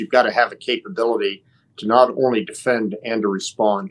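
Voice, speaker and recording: A man with an American accent talks at a moderate pace and medium pitch in a plain, everyday voice. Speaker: retired general and former diplomat. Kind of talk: panel discussion. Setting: remote video link.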